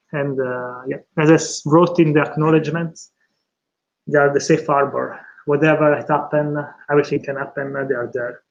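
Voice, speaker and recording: A man speaks in an Italian accent at a moderate pace. His pitch is fairly high and his intonation fairly even. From Italy, San Benedetto. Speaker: PhD candidate. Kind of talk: thesis defense acknowledgements speech. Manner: halting, many fillers.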